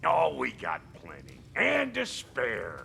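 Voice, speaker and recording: Over clear background noise, a man puts on a gruff, raspy character voice and speaks at a very slow pace. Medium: video game. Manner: gruff, streetwise.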